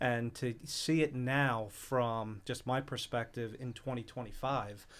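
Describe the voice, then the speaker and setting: A man with an American accent speaks at a fairly slow pace in an unremarkable speaking voice of medium pitch. His intonation is fairly even, and the recording is very clean with a silent background. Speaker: youth sports league board member. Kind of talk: casual chat.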